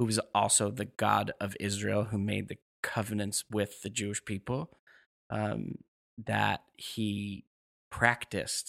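Recorded with a dry, close sound and no echo, a man with an American accent speaks at a fairly slow pace. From New York. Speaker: rabbi. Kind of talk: interview.

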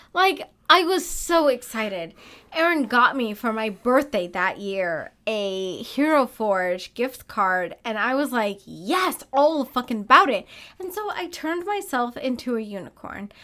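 A woman speaks in a high pitch with a bright, sharp tone and very wide pitch swings, at a fairly slow pace. The recording is very clean, with a silent background. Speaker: podcast co-host. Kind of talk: casual chat. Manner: animated, laughs a lot.

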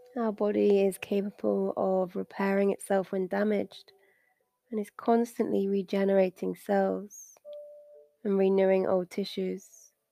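Soothing, calm female voice at a fairly slow pace, with music in the background. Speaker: meditation guide. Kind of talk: guided meditation. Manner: slow, soothing and calm, with long pauses between instructions; gentle, soft-spoken, reassuring.

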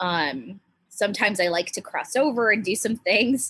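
A woman's ordinary speaking voice, with lively intonation at a fairly slow pace. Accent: American. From US Pacific Northwest, small island town near Seattle. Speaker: stand-up comedian. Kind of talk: casual chat.

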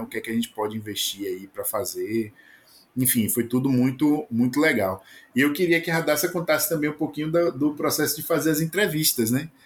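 A man's fairly high voice with a Bahian accent, lively intonation and a fairly quick pace, on a very clean recording with a silent background. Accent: Bahian Brazilian Portuguese. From Bahia, Brazil. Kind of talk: casual chat. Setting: home recording booth.

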